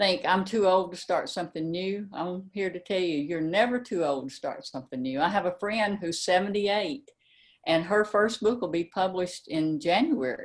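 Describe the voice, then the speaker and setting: Lively intonation carries speech at a moderate pace in a very clean recording with a silent background. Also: woman, medium pitch for a woman. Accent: Tennessee. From US South, Memphis, Tennessee. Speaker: mystery novelist. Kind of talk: interview. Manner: halting, with many fillers.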